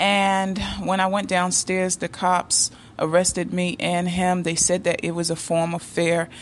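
Against a quiet background, a woman with an American accent speaks at a fairly slow pace in a fairly low, monotone voice with flat intonation. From United States. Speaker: YouTube dating advice creator. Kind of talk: monologue, personal stories.

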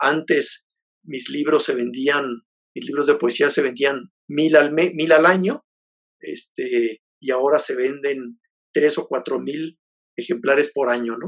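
Very slowly, a man speaks in a fairly high pitch with ordinary pitch variation. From Mexico, Jalisco. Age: 50s. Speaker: poet and novelist. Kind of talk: interview. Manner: halting, many fillers and repetitions.

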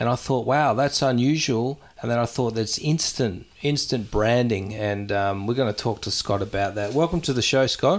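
The speaker is a man with an Australian accent. The rise and fall of his pitch is ordinary. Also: medium pitch for a man, moderate pace. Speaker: podcast host. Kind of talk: casual interview chat.

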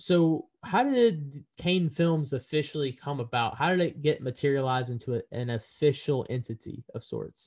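A man with a somewhat breathy voice, fairly high pitched, speaks at a moderate pace. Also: ordinary pitch variation, hardly any pauses. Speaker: podcast host. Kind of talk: casual interview. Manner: halting.

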